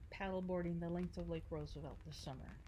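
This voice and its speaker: Audible room echo surrounds a woman as she talks. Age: 60s. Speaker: Marine Corps veteran and paddleboarder. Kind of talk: interview.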